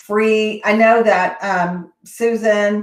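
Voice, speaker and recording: A woman's fairly even intonation in a Texas accent. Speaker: education consultant, summit host. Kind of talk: live Q&A webinar. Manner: casual, hesitant with many fillers.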